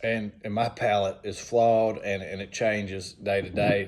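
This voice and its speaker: Speaking with a Southern US accent, this man has a fairly low-pitched voice. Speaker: whiskey reviewer. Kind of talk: casual tasting review. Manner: hesitant, many fillers.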